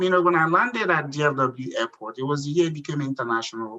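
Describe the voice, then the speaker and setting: Against noticeable background noise, a man with a Nigerian accent talks at a very fast pace. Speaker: entrepreneur. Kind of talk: interview.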